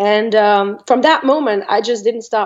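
With a French accent, this speaker keeps to a moderate pace. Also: woman. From France, Normandy. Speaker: psychic medium. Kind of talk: interview.

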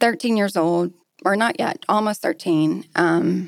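A woman with a Texan accent, medium pitch, fairly slow pace. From Texas. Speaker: restaurant group executive. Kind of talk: personal life story; casual chat.

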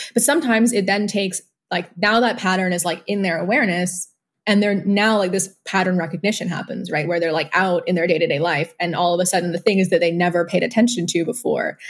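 A woman speaks at a very fast pace in a somewhat breathy voice. Her pitch is medium, with ordinary variation. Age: 20s. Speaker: organic livestock farmer and birth attendant. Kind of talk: casual chat.

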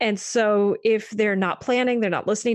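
With an American accent, a woman talks at a fairly quick pace and medium pitch in a plain, everyday voice against a quiet background. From US Northeast, Maine. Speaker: psychologist. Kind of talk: interview.

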